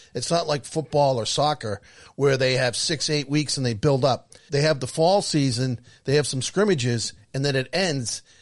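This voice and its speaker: Against a quiet background, a man with an ordinary speaking voice talks at a moderate pace. His pitch is fairly high, with ordinary pitch variation. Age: 60s. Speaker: podcast co-host. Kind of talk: casual chat.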